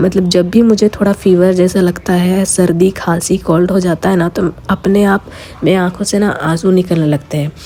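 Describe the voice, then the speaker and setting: Her pitch is medium and her intonation monotone and flat as a woman talks at a fairly slow pace. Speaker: lifestyle vlogger. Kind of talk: casual vlog talk.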